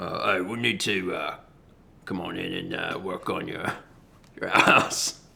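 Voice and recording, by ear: In a put-on character voice, a man speaks at a fairly low pitch and fairly slow pace, leaving long, frequent pauses.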